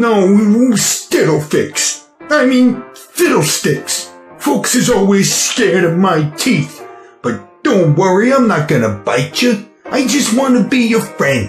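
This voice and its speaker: A man's put-on character voice, high-pitched and fairly slow, with faint music in the background. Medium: solo performance.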